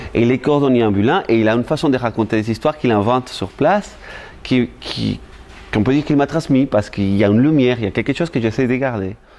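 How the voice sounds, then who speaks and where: A man's medium-pitched voice, very fast, with very even loudness and ordinary pitch variation. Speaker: storyteller. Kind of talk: interview answer.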